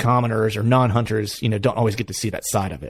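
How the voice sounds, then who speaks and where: Speaking at a fairly quick pace in a Pennsylvania accent, a man keeps a medium pitch and fairly even intonation. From Pennsylvania, US. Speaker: hunting podcast host. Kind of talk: casual interview chat.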